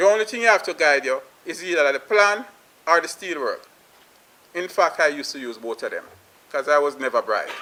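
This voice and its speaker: Speaking with a Jamaican accent at a moderate pace, a man has a bright, sharp tone and lively intonation. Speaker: plumbing business owner. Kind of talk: panel discussion remarks.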